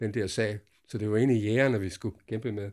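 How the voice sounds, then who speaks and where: A man talks at a very fast pace with a dark, mellow tone and fairly even intonation. The recording is very clean, with a silent background. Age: old. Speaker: veteran spearfisher. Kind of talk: interview storytelling. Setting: garden hut. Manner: halting.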